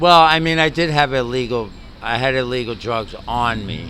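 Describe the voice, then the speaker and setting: A man with a slight New York accent speaks at a fairly slow pace in a medium pitch with ordinary pitch variation. Noticeable background noise and audible room echo are present. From New York City. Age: 60s. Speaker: homeless retired navy chief. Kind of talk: street interview. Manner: halting.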